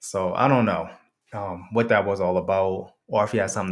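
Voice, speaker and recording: With an American accent, a man talks at a moderate pace, recorded very cleanly against a silent background. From Connecticut / New York. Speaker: storyteller vlogger. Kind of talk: casual storytelling monologue. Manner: casual, profanity-heavy, animated.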